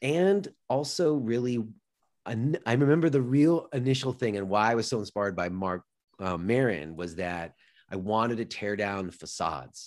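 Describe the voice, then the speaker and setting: The voice carries an American accent and swings very widely in pitch. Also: man, medium pitch for a man, moderate pace, very clean recording, silent background. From US West Coast, Los Angeles suburbs. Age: 40s. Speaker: yoga teacher and podcaster. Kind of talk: interview conversation.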